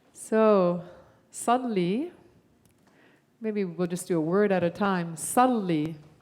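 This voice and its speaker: Amid audible room echo, a woman at medium pitch speaks at a fairly slow pace with ordinary pitch variation and long, frequent pauses. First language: Arabic. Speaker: guest musician. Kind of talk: teaching a song to a congregation. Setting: church service.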